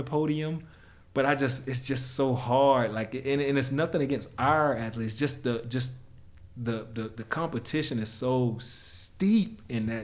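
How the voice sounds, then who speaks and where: A man with a fairly high pitch talks at a moderate pace in a plain, everyday voice. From United States. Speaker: former professional sprinter, track analyst. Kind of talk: casual interview.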